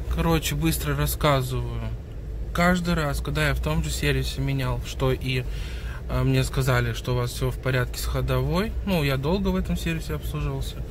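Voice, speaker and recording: Over noticeable background noise, a man with a very deep, low pitch speaks in a flat monotone at a moderate pace, the sound dry with no echo. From St. Petersburg, Russia. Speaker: vlogger. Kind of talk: casual vlog talk to camera. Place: car. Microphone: phone near.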